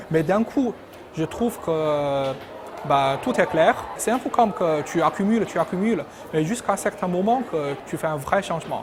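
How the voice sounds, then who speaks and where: Spoken with a Chinese accent at a moderate pace, the voice has lively intonation over noticeable background noise. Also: man, high pitch for a man. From China. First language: Chinese (speaking French). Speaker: PhD graduate, engineering researcher. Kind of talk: interview answers. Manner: hesitant, repetitive.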